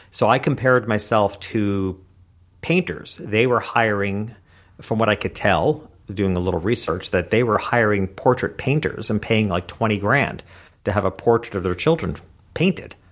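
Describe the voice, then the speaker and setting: An unremarkable speaking voice: a man at a moderate pace, fairly low in pitch, with ordinary pitch variation. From US Northeast, rural upstate New York. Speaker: keynote speaker and small business coach. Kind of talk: interview.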